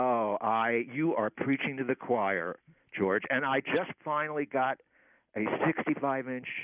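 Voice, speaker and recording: With an American accent, a man speaks at a fairly slow pace, at a medium pitch with ordinary pitch variation. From Philadelphia, US. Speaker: comedy writer and podcaster. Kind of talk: radio interview. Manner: halting, many fillers.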